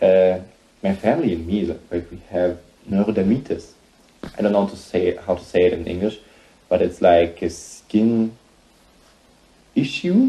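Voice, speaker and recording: The speaker has a German accent and a dark, mellow, somewhat breathy tone. The pace is moderate, broken by long, frequent pauses. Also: man, fairly low pitch for a man, ordinary pitch variation. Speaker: singer-songwriter vlogger. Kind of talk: casual vlog. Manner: halting.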